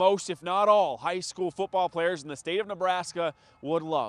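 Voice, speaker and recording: A man talks in an upbeat, energetic tone with high pitch and ordinary pitch variation. The sound is dry and close, with no echo. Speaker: sports anchor and reporter. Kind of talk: sports news anchor and on-location report.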